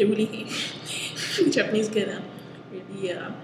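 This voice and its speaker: A woman talks at a fairly quick pace. Noticeable background noise is present. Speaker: vlogger reviewer. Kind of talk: casual vlog chat. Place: classroom. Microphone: headset.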